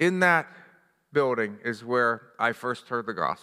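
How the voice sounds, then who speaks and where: A man with an American accent has a bright, sharp tone. His pitch swings very widely, and the recording is very clean with a silent background. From US, western Pennsylvania (Johnstown). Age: 60s. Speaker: pastor. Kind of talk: sermon.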